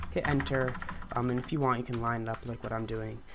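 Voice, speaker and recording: Noticeable background noise sits under words delivered at a very fast pace. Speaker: gaming tutorial youtuber. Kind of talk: tutorial. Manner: halting, many fillers.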